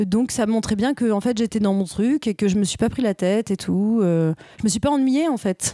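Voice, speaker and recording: A woman's dark, mellow tone comes at a fairly high pitch, with ordinary pitch variation and a moderate pace. The sound is dry and close with no echo, on a very clean recording with a silent background. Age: 30s. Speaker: stage actress. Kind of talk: casual chat. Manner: hesitant, many fillers.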